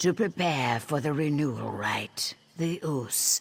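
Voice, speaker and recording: In a put-on character voice, the speaker uses lively intonation at a low-to-middle pitch and a fairly slow pace. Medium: video game. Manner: measured, dry.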